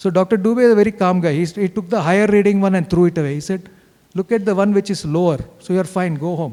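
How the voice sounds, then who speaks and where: A man with a South Indian accent talks at a fairly quick pace in a high pitch with ordinary pitch variation. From India, Bengaluru. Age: 60s. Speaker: cancer survivor, retired engineer. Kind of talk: testimony talk. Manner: animated, conversational.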